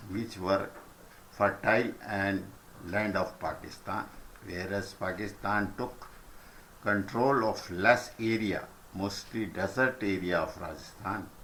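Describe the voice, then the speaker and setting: A man with an Indian accent speaks at a very slow pace, leaving long, frequent pauses. His fairly low voice has a bright, sharp tone and fairly even intonation, with audible room echo around it. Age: old. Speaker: senior citizen recounting history. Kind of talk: reading a prepared letter.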